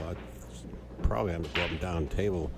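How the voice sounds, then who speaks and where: A man's very deep, low voice is heard with audible room echo and noticeable background noise. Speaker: pool match commentator. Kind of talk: live commentary. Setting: pool hall. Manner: soft-spoken.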